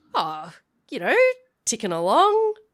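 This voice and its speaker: A fairly high, female-sounding put-on character voice. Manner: friendly, easygoing.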